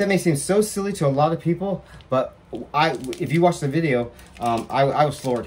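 Somewhat breathy, the speaker uses lively intonation and moves at a fairly quick pace. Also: man. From England. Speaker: vlogger. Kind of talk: personal vlog monologue. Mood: emotional, grateful, animated. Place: home room. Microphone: earbuds.

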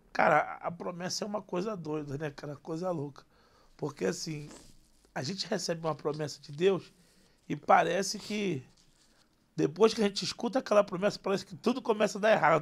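A high-pitched man talks at a fairly quick pace with ordinary pitch variation, big swings in loudness and long, frequent pauses. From Brazil, Rio de Janeiro. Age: 20s. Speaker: comedian. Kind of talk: casual interview. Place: studio. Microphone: studio mic.

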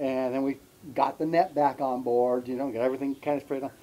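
This man has a dark, mellow tone and fairly even intonation. He talks at a moderate pace. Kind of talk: interview storytelling. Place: garden.

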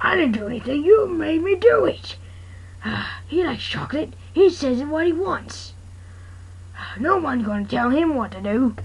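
In a cartoonish character voice, a female-sounding speaker talks at a moderate pace with a high pitch and long, frequent pauses. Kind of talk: amateur comic overacting. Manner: angry, shouting.

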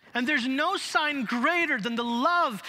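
A bright, sharp, raised and projected voice with an American accent. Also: man. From Chicago. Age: 40s. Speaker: pastor. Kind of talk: sermon. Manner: animated. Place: church. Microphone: headset.

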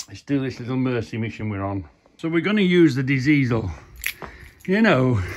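The pitch of this man's voice swings very widely. It rises and falls a great deal. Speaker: car enthusiast vlogger. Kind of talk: casual vlog chat. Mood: jovial, laughing. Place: garage. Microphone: phone near.

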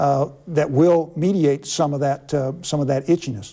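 At a moderate pace, a man speaks with fairly high pitch, a dark, mellow tone and fairly even intonation.

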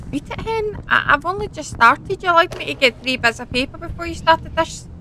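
In a Scottish accent, a woman with an extremely high pitch talks at a fairly quick pace with very wide pitch swings, in a dry sound with no echo and light background noise. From Scotland. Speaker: gaming YouTuber; gamer. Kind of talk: gameplay commentary. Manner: animated. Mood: exasperated, playful. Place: home room.

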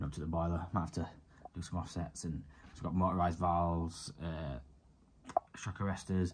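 A man's very deep, low voice with vocal fry and a dark, mellow tone, amid noticeable background noise. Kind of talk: casual vlog chat. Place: home room. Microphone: phone near.

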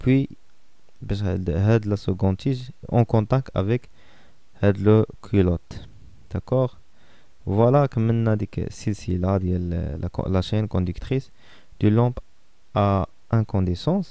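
A man with a Moroccan accent talks at a fairly low pitch in a dark, mellow tone with ordinary pitch variation. His pace is very slow, and his pauses are long and frequent. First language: Moroccan Arabic (speaking French). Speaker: physics teacher. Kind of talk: lecture. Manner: halting.

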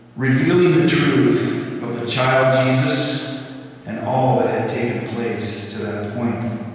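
In a room with strong echo, a man talks very slowly with ordinary pitch variation. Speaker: lay speaker or preacher. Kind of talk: religious talk, storytelling. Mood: warm, light humor. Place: church. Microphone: podium.

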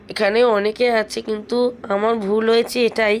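Her voice sits at a medium pitch, and this woman speaks with monotone, flat intonation. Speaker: vlogger. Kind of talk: vlog voice-over narration.

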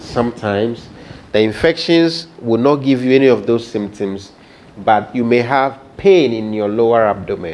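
The man keeps to a moderate pace. Some light noise can be heard behind his words. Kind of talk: health education talk. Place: office. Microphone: lapel.

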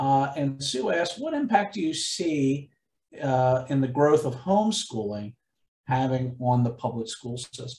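With audible room echo, a man with a Pennsylvania accent speaks at a fairly slow pace in a somewhat breathy, fairly high voice with lively intonation. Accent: Pennsylvania American. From Chester County, Pennsylvania. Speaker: museum event host. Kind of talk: event moderation. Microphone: webcam.

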